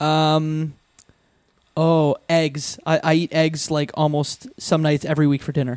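In a Canadian accent, a normal speaking voice moves at a fairly slow pace with fairly even intonation. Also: man, fairly high pitch for a man. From Canada, Windsor, Ontario. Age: 30s. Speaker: podcaster. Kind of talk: casual chat.

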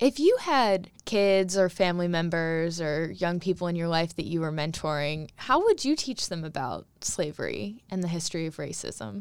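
In a normal speaking voice, a woman talks at a moderate pace with hardly any pauses. Her pitch is fairly low and her intonation lively. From Charlottesville, Virginia. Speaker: radio host. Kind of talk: radio interview. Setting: studio.

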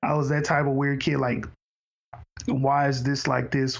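Audible room echo surrounds a man with an American accent who speaks fairly slowly at medium pitch in a flat monotone. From Houston, Texas. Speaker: podcast host. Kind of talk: casual interview conversation.

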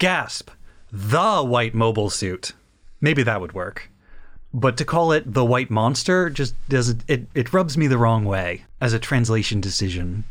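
A man at a fairly slow pace, medium in pitch, with lively intonation. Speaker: podcast co-host. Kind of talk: casual chat about anime. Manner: pitches voice slightly higher to mirror co-host.

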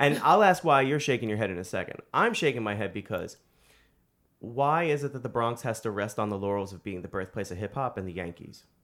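Medium-pitched male voice with a New York accent, lively intonation and a fairly quick pace, in a very clean recording with a silent background. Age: 30s. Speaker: podcast host and independent filmmaker. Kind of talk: casual interview.

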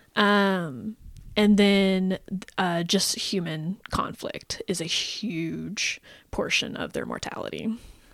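A woman with a plain, everyday voice speaks at medium pitch with fairly even intonation and big swings in loudness, on a very clean recording with a silent background. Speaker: podcast co-host presenting research on painted dogs. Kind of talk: casual chat.

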